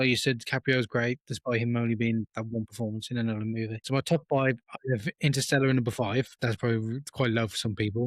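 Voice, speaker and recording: Over a very clean recording with a silent background, a man with medium pitch and fairly even intonation talks at a very fast pace with hardly any pauses, in a dry, close sound with no echo. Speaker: film review podcast co-host. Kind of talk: casual chat. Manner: halting.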